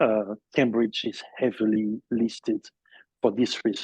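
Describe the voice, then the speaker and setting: Here a man speaks at a fairly slow pace, with a fairly low pitch and a dark, mellow tone. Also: dry, close sound with no echo. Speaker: sommelier and wine shop owner. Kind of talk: interview. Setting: podcast. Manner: halting, many fillers.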